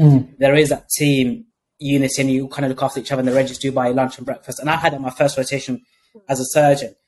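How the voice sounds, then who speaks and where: A man with an ordinary speaking voice talks at a fairly quick pace. His pitch is fairly high. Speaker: podcast host. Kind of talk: interview.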